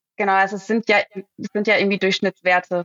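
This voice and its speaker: Her voice stays at medium pitch as the woman speaks in a monotone, flat way. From Ruhr area, Germany (Herne). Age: 30s. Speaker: startup founder. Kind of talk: podcast interview.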